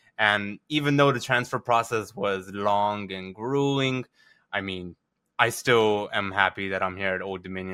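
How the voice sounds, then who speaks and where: On a very clean recording with a silent background and a dry, close sound with no echo, a man with an American accent uses a normal speaking voice at a fairly low pitch with fairly even intonation. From Virginia and South Texas. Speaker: college sports reporter. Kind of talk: casual interview. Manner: casual, lots of fillers.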